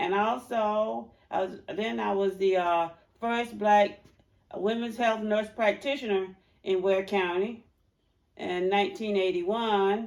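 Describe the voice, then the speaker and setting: This woman talks very slowly at a medium pitch, her intonation fairly even. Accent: Georgia. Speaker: retired public health nurse. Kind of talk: oral history interview.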